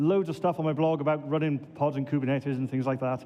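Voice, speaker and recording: With a Welsh accent, a man talks at a very fast pace. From Wales, Swansea. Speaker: database administrator, conference speaker. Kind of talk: conference talk.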